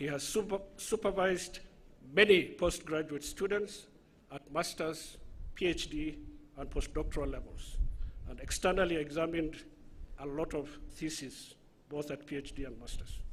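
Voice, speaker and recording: A high-pitched man with a Somali accent speaks at a moderate pace, with long, frequent pauses. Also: ordinary pitch variation. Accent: Somali accent (self-described). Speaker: master of ceremonies. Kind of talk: formal introduction of speaker at ceremony. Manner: formal.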